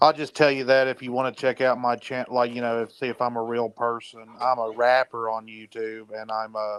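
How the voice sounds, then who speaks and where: With a Southern accent, a man at medium pitch talks at a fairly quick pace with hardly any pauses, in a monotone, flat intonation and a dry, close sound with no echo. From North Carolina, Hickory. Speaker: rapper and street preacher, caller. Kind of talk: casual chat.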